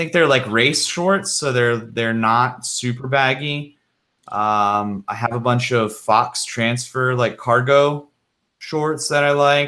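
A man at a very slow pace, with ordinary pitch variation. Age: 30s. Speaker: mountain biker with prosthetic arm, YouTuber; YouTuber. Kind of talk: casual live stream chat. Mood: relaxed, conversational. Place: home room. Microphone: studio mic.

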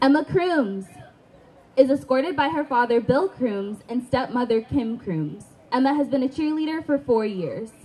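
A woman's high-pitched voice at a moderate pace. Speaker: stadium announcer. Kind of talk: ceremony announcement. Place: stadium.

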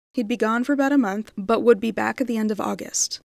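A woman talks in a normal speaking voice at a fairly quick pace. Her pitch varies in an ordinary way. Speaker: librarian narrating stories. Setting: recorded video for a library channel. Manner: warm, friendly and upbeat in the intro and outro.

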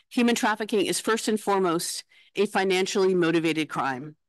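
The sound is dry with no echo and the background is quiet. A woman speaks at a moderate pace with ordinary pitch variation. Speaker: conference host. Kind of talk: formal opening address. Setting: conference hall with live audience. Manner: formal. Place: hall. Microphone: podium.

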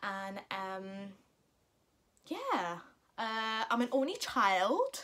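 At a very slow pace, a woman with a fairly high pitch and a bright, sharp tone leaves long, frequent pauses. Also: ordinary pitch variation. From Northern England. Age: 20s. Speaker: mum vlogger. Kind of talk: casual talk to camera. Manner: chatty, hesitant. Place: home room. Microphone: phone near.

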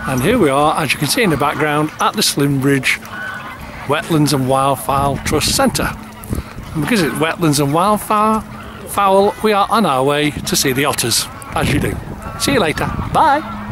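A man speaks at a moderate pace with noticeable background noise. The sound is dry, with no echo. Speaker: holiday vlogger. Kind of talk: casual vlog chat. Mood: cheerful, jokey. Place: waterside. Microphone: phone near.

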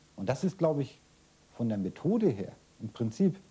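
Male speech, dark and mellow in tone and somewhat breathy. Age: 60s. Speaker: former political prisoner. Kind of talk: interview. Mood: serious, reflective. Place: home room.

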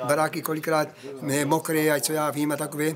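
The speech comes at a very fast pace with a Moravian Slovak accent. Noticeable background noise runs underneath. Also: man. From Moravian Slovakia, Czech Republic. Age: 70s. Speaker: elderly villager. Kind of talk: interview answer. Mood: humorous, animated. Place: garden. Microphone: phone near.

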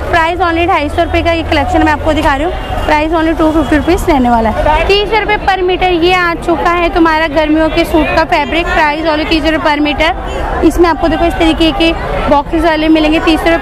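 At a moderate pace with hardly any pauses, the voice comes through a dry sound with no echo while crowd noise carries in the background. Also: woman. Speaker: market vlogger. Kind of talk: casual vlog chat. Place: market. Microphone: phone near.

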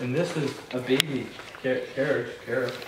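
Strong room echo surrounds a man at a medium pitch. He talks at a moderate pace with fairly even intonation.

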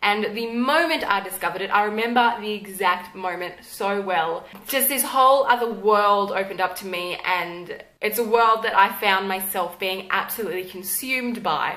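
Talking at a moderate pace with hardly any pauses, a woman with an Australian accent uses a medium pitch and ordinary pitch variation. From Tasmania, Australia. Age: 20s. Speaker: YouTuber. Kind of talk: casual talk to camera. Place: home room.

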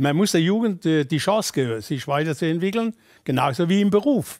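A man with a Kurpfalz accent speaks against a quiet background, the sound dry with no echo. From Kurpfalz, Germany. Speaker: former football coach. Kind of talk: interview answer. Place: studio.

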